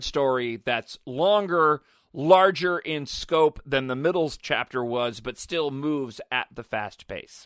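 Lively intonation marks a man's voice, heard dry and close with no echo in a very clean recording with a silent background. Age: 30s. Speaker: podcast host. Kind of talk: casual chat.

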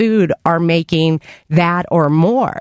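A woman with an American accent speaks in a normal speaking voice, her pitch fairly low and its variation ordinary, in a dry, close sound with no echo. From Pittsburgh, Pennsylvania. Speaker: nonprofit executive. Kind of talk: interview.

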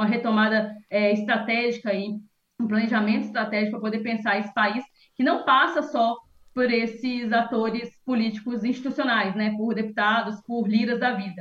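Speaking at a fairly quick pace, a woman uses a fairly high, somewhat breathy voice with fairly even intonation. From interior of Minas Gerais, Brazil. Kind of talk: interview and casual chat.

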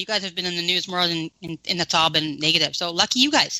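With a dry, close sound and no echo, a woman talks at a fairly quick pace in a fairly low pitch, her tone bright, sharp and animated. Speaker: radio host. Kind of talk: casual chat.

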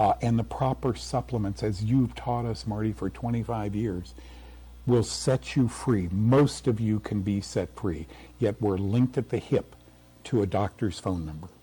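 Here a man talks at a fairly slow pace, his fairly low voice somewhat breathy and dark, mellow in tone. His intonation is lively. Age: 70s. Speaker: health TV host and author, war veteran. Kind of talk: radio interview.

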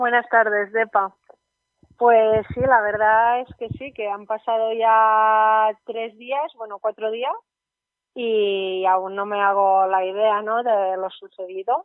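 Very slow delivery with fairly even intonation. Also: woman, fairly high pitch for a woman. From Spain, Catalonia (Girona). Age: 20s. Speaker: ultrarunner and architecture student. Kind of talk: interview.

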